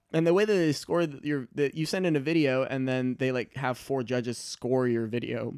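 A man talks at a moderate pace with medium pitch. He has a normal speaking voice and ordinary pitch variation. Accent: American. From Michigan. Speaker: stand-up comedian. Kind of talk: casual chat. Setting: studio.

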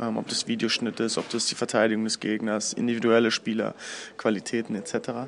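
Noticeable noise sits in the background. The pace is moderate. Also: man. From Berlin, Germany, partly abroad. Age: 30s. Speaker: basketball assistant coach. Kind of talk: interview. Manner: hesitant, many fillers.

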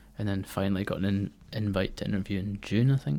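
This man speaks with a Scottish accent at a fairly low pitch. His tone is dark and mellow. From Scotland, Fife. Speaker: musician and arts administrator. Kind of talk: casual interview.

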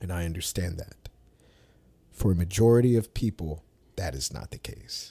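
On a very clean recording with a silent background, a man speaks at a moderate pace with long, frequent pauses. His voice is very deep, low, dark, mellow and somewhat breathy, with lively intonation. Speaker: podcast host. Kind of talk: casual chat.

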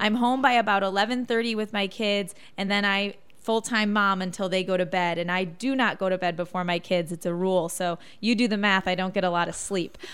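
A woman with a Midwestern accent, medium pitch, fairly even intonation and a fairly quick pace, on a very clean recording with a silent background. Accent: Midwestern, like locals. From Michigan. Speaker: TV news reporter. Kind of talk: casual interview.

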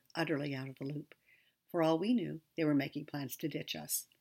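Recorded very cleanly against a silent background, a woman speaks at a moderate pace with fairly even intonation. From Canada. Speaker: memoir storyteller. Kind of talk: scripted narration.

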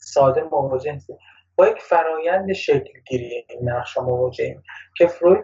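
His loudness rises and falls in big swings. The man talks at a fairly quick clip. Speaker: workshop co-presenter. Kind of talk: lecture.

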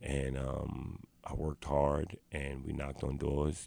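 A man speaks in a New York accent with a very deep, low pitch and vocal fry. His tone is dark and mellow, and his pace is moderate. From New York, South Bronx. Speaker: activist. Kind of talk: interview. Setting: studio.

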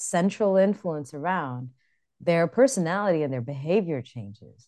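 Over a quiet background, a woman with an American accent speaks at a fairly slow pace in a dark, mellow tone, her fairly low pitch moving in very wide swings. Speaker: dance podcast co-host. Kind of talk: casual chat.

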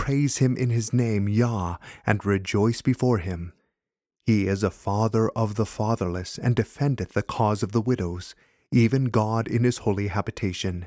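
In a solemn, dark and mellow tone, a man with a fairly low pitch speaks at a moderate pace with fairly even intonation, recorded very cleanly against silence with a dry, close sound and no echo. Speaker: prayer leader reading liturgy. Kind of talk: fervent prayer, reverent liturgical reading of a confession and psalm. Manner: solemn, earnest and fervent; measured, formal, reverent.

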